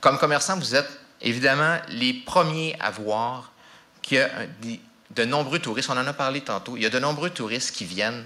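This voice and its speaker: A man's medium-pitched voice carries lively intonation at a moderate pace. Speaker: language office representative. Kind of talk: public talk. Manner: halting.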